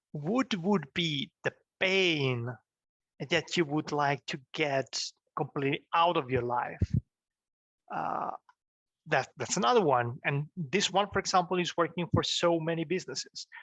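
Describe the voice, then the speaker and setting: With a non-native accent, a man speaks at a fairly slow pace and a fairly high pitch, using ordinary pitch variation and long, frequent pauses. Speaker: business coach / YouTuber. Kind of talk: tutorial. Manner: halting, many fillers and restarts; casual, animated.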